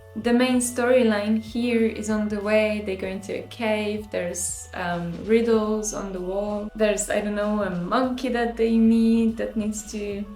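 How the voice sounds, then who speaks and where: With hardly any pauses, a woman talks at a fairly slow pace in a monotone, flat intonation, with audible room echo and noticeable background noise. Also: fairly high pitch for a woman. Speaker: artist vlogger. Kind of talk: casual vlog talk.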